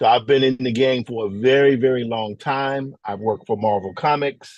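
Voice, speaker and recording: At a moderate pace, a man speaks with a Mississippi accent. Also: medium pitch for a man, ordinary pitch variation. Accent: Southern US (Mississippi). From US South, Mississippi. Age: 50s. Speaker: visual artist and comics illustrator. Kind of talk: workshop presentation. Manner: casual, with many filler words.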